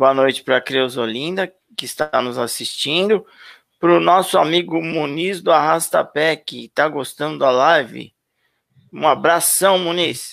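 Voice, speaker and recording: A man's fairly high-pitched voice with vocal fry and ordinary pitch variation, at a fairly slow pace, in a very clean recording with a silent background. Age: 50s. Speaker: YouTube channel host. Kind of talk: live stream interview.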